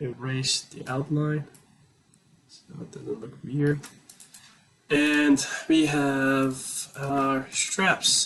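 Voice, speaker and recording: Very slow delivery with long, frequent pauses and big swings in loudness. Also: man, fairly high pitch for a man, fairly even intonation. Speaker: product design tutorial creator. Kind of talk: software tutorial walkthrough. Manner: halting, many fillers.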